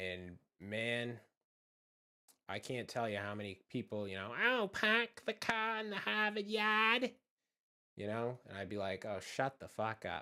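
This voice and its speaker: Long, frequent pauses break up a man's fairly slow speech in a Boston accent. The recording is very clean, with a silent background. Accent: Boston accent, moderate, drops R's. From Massachusetts, just south of Boston. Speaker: streamer, horror channel creator. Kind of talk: casual live-stream chat. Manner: relaxed, laid-back.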